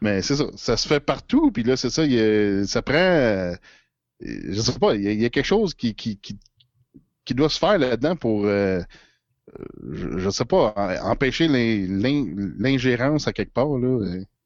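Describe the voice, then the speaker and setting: Against a quiet background, a man with a Quebec accent speaks at a very slow pace and medium pitch, his intonation lively. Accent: Québécois French. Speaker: political commentator. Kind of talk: casual chat. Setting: at home.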